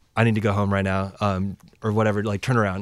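With an American accent, a man with a fairly low pitch speaks very fast in a monotone, flat way, in a dry, close sound with no echo. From Washington State (Lynnwood, Seattle area). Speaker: musician and traveler. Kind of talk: casual chat. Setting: studio.

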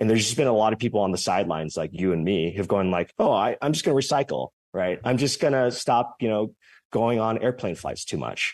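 Against a quiet background, a man with a fairly low pitch talks at a very fast pace with lively intonation. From California, San Jose. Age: young. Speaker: startup founder. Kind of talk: interview. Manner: halting.

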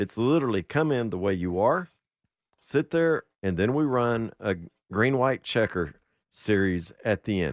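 On a very clean recording with a silent background, a man speaks at a moderate pace in an unremarkable speaking voice, the sound dry and close with no echo. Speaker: radio co-host. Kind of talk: casual radio banter.

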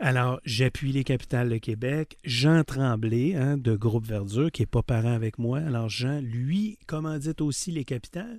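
A man's plain, everyday voice at a medium pitch, with ordinary pitch variation, a moderate pace and a quiet background. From Quebec City, Quebec. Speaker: car dealership owner. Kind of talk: interview.

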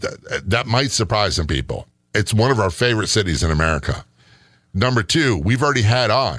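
Lively intonation with vocal fry at a fairly quick pace, very even loudness, in a very clean recording with a silent background. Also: man, fairly low pitch for a man. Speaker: radio host and retired police sergeant. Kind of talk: casual podcast chat about hauntings.

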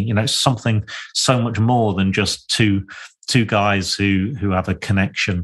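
Against a quiet background, a man with an East Midlands accent speaks at a fairly low pitch and a moderate pace, with ordinary pitch variation. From Lincolnshire, England. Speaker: podcast host, property developer. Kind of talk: solo reflective monologue. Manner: halting, frequent fillers and repetitions.

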